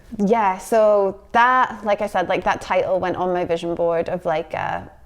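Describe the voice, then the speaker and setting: A woman with a Scottish accent speaks at a medium pitch and moderate pace, with fairly even intonation. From Scotland. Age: 30s. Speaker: poet. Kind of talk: interview answer.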